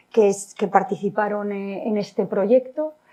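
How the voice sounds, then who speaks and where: A woman's fairly high voice with a dark, mellow tone moves at a fairly slow pace with ordinary pitch variation. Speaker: civil engineer. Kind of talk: lecture. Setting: lecture hall with audience. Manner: halting, with frequent repetitions.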